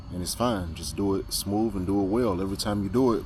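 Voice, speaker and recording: In a room with audible echo and noticeable background noise, a man speaks at a fairly low pitch with fairly even intonation. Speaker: FPV drone pilot, video creator. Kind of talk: casual vlog talk. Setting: outdoors at flying spot. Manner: fast.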